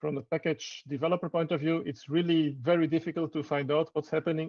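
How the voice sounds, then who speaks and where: This man speaks at a very fast pace and a fairly high pitch. His intonation is fairly even. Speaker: keynote speaker, software researcher. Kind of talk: conference talk and Q&A. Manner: hesitant, many fillers.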